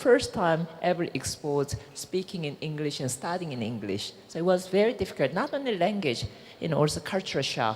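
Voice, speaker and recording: Speaking at a fairly quick pace with a Korean accent, a woman uses a fairly low pitch and very wide pitch swings. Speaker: businesswoman. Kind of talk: panel discussion.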